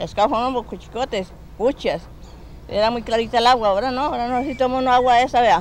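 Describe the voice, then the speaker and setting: With a Cundinamarca accent, a woman talks at a fairly quick pace. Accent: rural Colombian Spanish, Cundinamarca. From Cundinamarca, Colombia, rural. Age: 60s. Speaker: rural resident. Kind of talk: documentary interview testimony.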